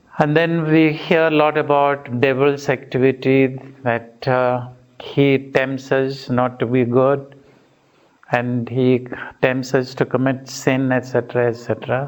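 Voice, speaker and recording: In a monotone, flat intonation, a man talks at a fairly slow pace. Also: medium pitch for a man, very even loudness. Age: 60s. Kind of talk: retreat talk.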